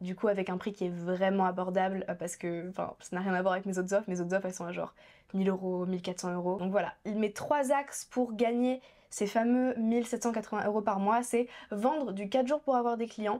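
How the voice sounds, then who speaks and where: On a very clean recording with a silent background, a woman speaks fairly quickly at a medium pitch in a dark, mellow tone with ordinary pitch variation. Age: 20s. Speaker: young entrepreneur and YouTuber. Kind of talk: vlog monologue. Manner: fast; animated.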